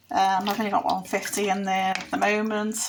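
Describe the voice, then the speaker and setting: A woman with a Liverpool accent speaks at a medium pitch with monotone, flat intonation. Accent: Liverpool (Scouse). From Liverpool, England. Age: 50s. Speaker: former secondary school teacher. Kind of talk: casual talk to camera.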